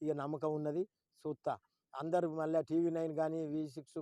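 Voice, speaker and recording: The man's tone is dark and mellow at a fairly high pitch, the sound dry and close with no echo. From Telangana, Karimnagar district. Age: old. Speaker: farmer. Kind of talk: emotional public appeal to a politician. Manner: pleading, emotional.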